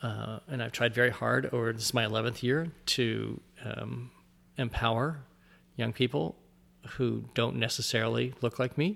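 Vocal fry runs through a man's speech. His pitch sits in the medium range. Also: ordinary pitch variation, moderate pace. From US Midwest, Ohio (outside Dayton). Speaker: sports writer. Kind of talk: interview conversation. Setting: in person. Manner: halting with repeated words.

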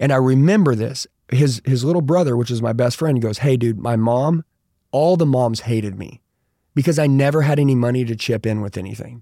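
This man has a medium pitch, a dark, mellow tone and an American accent. His pitch varies in an ordinary way, and his pace is fairly quick. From Oklahoma. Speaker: sales trainer. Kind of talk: casual interview chat. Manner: animated.

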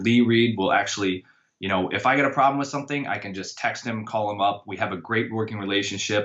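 Fairly low in pitch, a man with an American accent and a plain, everyday voice shows ordinary pitch variation. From Iowa. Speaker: college strength and conditioning coach. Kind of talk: casual interview.

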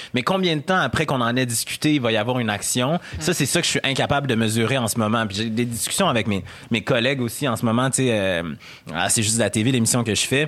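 A man with a Quebec accent speaks at a very fast pace and a medium pitch. His intonation is lively and his loudness very even. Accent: Québécois. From Quebec City, Quebec. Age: 30s. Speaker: radio host and columnist. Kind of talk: casual chat. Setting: studio.

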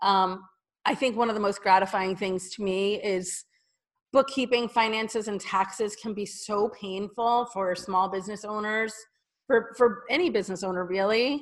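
A woman's ordinary speaking voice with an American accent, medium pitch, fairly even intonation and a moderate pace, on a very clean recording with a silent background. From New Jersey. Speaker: bookkeeper and business owner. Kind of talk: interview.

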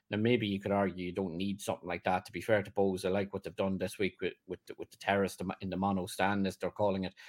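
With an Irish accent, a man of fairly low pitch speaks very fast in a flat, monotone way, with hardly any pauses. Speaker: football journalist. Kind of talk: casual chat. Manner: halting.

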